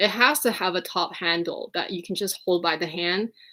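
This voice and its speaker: A woman with a bright, sharp tone and a slight Quebec accent, on a very clean recording with a silent background. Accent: slight Quebecois. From Quebec, Montreal. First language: French. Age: 30s. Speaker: fashion vlogger. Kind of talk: livestream chat. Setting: livestream.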